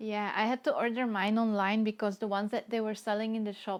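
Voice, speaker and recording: Her pitch is fairly high. The woman speaks in a monotone, flat intonation. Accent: Dutch. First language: Dutch. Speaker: watercolor artist. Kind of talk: live stream chat while painting. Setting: live stream.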